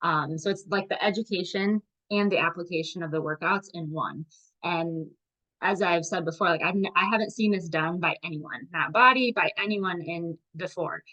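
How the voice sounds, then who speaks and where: A woman speaks in a plain, everyday voice, pitched fairly low. The sound is dry and close with no echo, and her pitch varies in an ordinary way. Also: moderate pace. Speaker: fitness and nutrition coach. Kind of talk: live group video call presentation.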